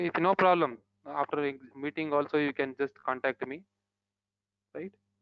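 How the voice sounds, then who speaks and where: At a moderate pace broken by long, frequent pauses, a man speaks at a fairly high pitch with fairly even intonation. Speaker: programming instructor. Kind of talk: online lecture. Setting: video call. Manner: soft-spoken. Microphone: too quiet.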